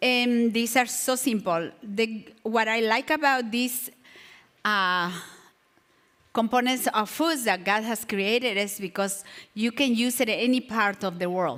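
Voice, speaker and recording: A woman's fairly high voice at a fairly slow pace, with ordinary pitch variation, in a very clean recording with a silent background. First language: not English. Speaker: natural remedies teacher. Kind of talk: health class lecture. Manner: halting.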